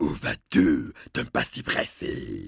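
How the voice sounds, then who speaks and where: A man speaks in a put-on character voice with a menacing tone. His delivery is very slow. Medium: read story. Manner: menacing, demanding.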